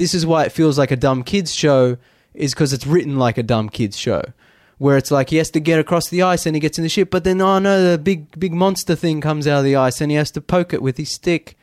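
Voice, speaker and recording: A plain, everyday voice from a man, fairly high in pitch, at a fairly quick pace with ordinary pitch variation and a dry, close sound with no echo. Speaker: podcast co-host. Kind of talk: casual podcast chat. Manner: rambling, conversational.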